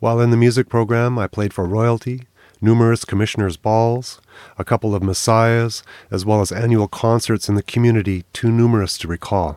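A man with a Canadian accent speaks at a fairly quick pace in a plain, everyday voice of medium pitch with fairly even intonation. The recording is very clean with a silent background and a dry, close sound with no echo. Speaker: podcast host and musician. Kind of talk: scripted intro and narration. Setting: studio.

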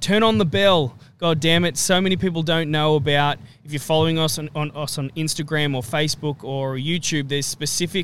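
Someone talks with an Australian accent. The pace is moderate. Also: man. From Australia, Central Coast NSW. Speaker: podcast co-host. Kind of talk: casual chat.

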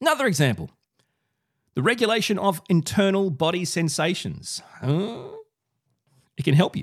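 At a moderate pace, a man with an Australian accent speaks with vocal fry. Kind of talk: solo video podcast monologue. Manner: animated.

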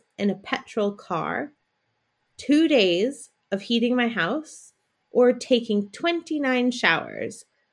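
In a very clean recording with a silent background, a woman with an American accent speaks in a plain, everyday voice. Her fairly high pitch carries lively intonation at a fairly slow pace. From United States. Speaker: podcast co-host, social enterprise worker. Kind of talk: scripted educational podcast chat.

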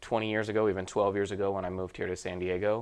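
This man has a fairly low voice and an American accent. His intonation is monotone and flat. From Utah. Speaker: mortgage sales director. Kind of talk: casual interview.

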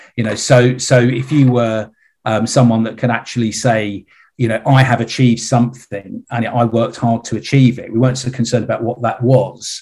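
A man speaks in a somewhat breathy voice at a medium pitch and a fairly quick pace, with monotone, flat intonation, on a very clean recording with a silent background. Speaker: retired CEO and investor. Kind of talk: interview. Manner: halting, many repeated words.

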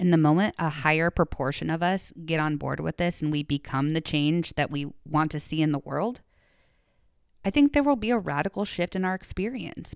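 On a very clean recording with a silent background and a dry, close sound with no echo, a woman with an American accent speaks at a moderate pace with lively intonation. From US Midwest, small town in Iowa. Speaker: podcast host, former teacher. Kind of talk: personal reflective monologue.

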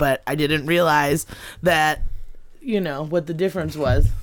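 A woman in an animated tone, with ordinary pitch variation at a moderate pace. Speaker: comedian. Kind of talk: casual chat.

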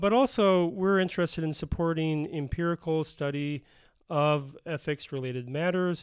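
This is an ordinary speaking voice with an American accent, moving at a moderate pace with ordinary pitch variation. The recording is very clean with a silent background. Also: man, fairly high pitch for a man. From Minnesota, Bloomington. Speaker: philosophy professor, podcast co-host. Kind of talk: casual academic discussion.

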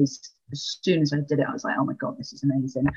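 A woman speaks with a Welsh accent. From Wales. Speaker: librarian and former coaching client. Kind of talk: casual interview chat.

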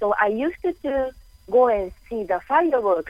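With a non-native accent, this voice moves through very wide pitch swings. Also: woman. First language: not English. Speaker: caller, caregiver and newly certified coach. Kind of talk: phone-in conversation. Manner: deliberately slow and clear; halting, with fillers.

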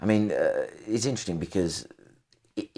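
A man's voice with vocal fry. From northwest England. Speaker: podcast host. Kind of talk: interview.

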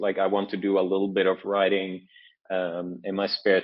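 With a Norwegian accent, a man speaks at a moderate pace and a very deep, low pitch. His intonation is monotone and flat. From Norway. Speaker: author. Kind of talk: interview. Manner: halting, many fillers.

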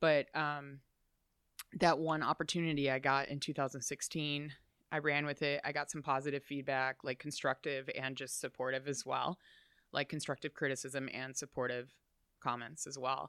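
The delivery is monotone and flat, in an American accent. The recording is very clean with a silent background and a dry, close sound with no echo. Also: woman, very deep, low pitch for a woman, moderate pace. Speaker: roller derby skater, bartender and wrestling fan. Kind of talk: casual interview chat. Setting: in person, in a wrestling shop.

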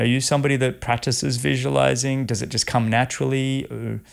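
A man is speaking. He has an Australian accent. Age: 50s. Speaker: podcast host, former triathlete. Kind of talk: interview conversation. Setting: home studio.

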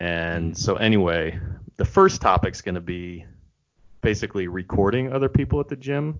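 A man with a fairly low pitch and lively intonation talks at a moderate pace in an ordinary speaking voice. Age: 40s. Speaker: co-host. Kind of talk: casual chat.

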